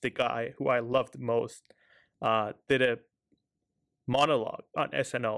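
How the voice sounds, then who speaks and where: A man with an Iranian accent. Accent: Iranian (Persian) accent in English. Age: 20s. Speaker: podcast host. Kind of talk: solo monologue commentary. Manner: hesitant, frequent fillers.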